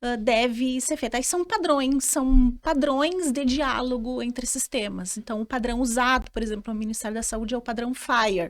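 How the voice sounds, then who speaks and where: Speaking with a southern Brazilian accent, a woman uses a high pitch, ordinary pitch variation and a moderate pace. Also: very clean recording, silent background. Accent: gaúcho. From Rio Grande do Sul, southern Brazil. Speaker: lawyer in health tech. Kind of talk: podcast interview. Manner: halting, many repetitions and fillers.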